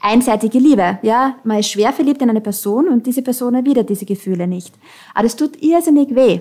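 A woman's fairly high voice in an Austrian accent at a fairly quick pace. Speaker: founder of an online counselling platform. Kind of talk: interview.

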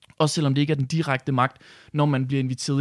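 Over a silent background in a very clean recording, a man talks at a fairly quick pace with a medium pitch and monotone, flat intonation. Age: 20s. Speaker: youth party chairman. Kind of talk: radio interview. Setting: studio.

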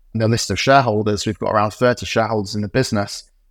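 A man with a Yorkshire accent speaks in a medium pitch with fairly even intonation. The recording is very clean, dry and close, with a silent background and no echo. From West Yorkshire, England (Morley, near Leeds). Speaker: startup founder and CEO. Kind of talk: interview conversation.

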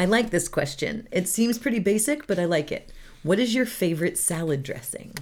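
A woman speaks at medium pitch and a fairly quick pace in an animated, playful tone, with very wide pitch swings and a somewhat breathy quality. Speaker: podcast co-host. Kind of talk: casual chat.

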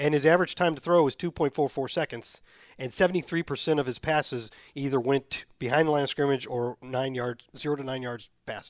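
Recorded very cleanly against a silent background, with a dry, close sound and no echo, a man with an ordinary speaking voice speaks at a fairly high pitch with fairly even intonation. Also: fairly quick pace. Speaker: podcast host, football commentator. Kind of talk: casual chat about football. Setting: studio, nearly empty building. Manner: conversational, informal.

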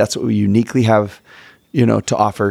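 Recorded very cleanly with a silent background, a man talks with an American accent. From Texas. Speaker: religion teacher and podcast co-host. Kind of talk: casual interview chat. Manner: animated.

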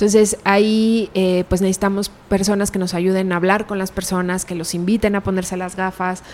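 A woman speaks at a moderate pace in a medium pitch, her intonation flat and monotone, with hardly any pauses and noticeable background noise. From Mexico, Pachuca, Hidalgo. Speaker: animal rights organization director. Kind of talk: interview. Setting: in person.

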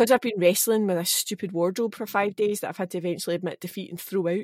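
A woman talks at a very fast pace with fairly even intonation. The sound is dry and close, with no echo. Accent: Scottish. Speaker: actor. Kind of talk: casual chat.

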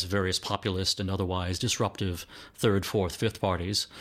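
A man with an American accent speaks in a normal speaking voice at a fairly low pitch and a fairly quick pace, with fairly even intonation. The recording is very clean, with a silent background. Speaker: political columnist and magazine editor. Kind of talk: interview.

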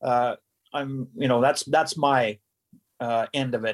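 In a dry, close sound with no echo, a man with a Canadian accent talks at a moderate pace and a fairly high pitch. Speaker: radio station owner and engineer. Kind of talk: interview. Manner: halting.

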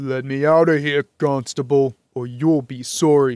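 Put-on character voice at a moderate pace. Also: man, fairly high pitch for a man. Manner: growling, menacing.

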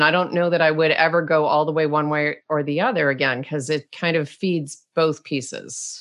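In a quiet background, a woman with a very deep, low voice speaks at a fairly quick pace. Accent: slight Canadian. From Rochester, New York, US. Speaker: author and blogger. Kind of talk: interview conversation.

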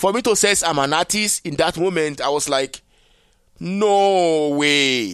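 In a very clean recording with a silent background, a man with a Nigerian accent speaks at a very slow pace, fairly high in pitch and swinging very widely. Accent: Nigerian (Yoruba) English. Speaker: interdisciplinary artist. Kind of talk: interview conversation.

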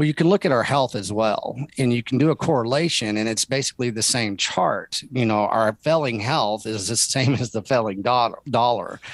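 With a Texan accent and a medium pitch, a man talks with hardly any pauses and ordinary pitch variation, the sound dry and close with no echo. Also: moderate pace. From Texas. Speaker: rancher. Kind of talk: interview.

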